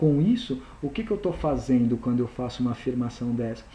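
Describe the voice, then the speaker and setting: A man speaks in a dark, mellow tone, with audible echo in the room. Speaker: university lecturer. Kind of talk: recorded lecture.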